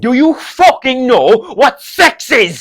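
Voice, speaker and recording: A gruff, high-pitched put-on character voice comes through. It moves at a fairly slow pace. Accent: strong Kerry. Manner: gruff, angry, hard to hear.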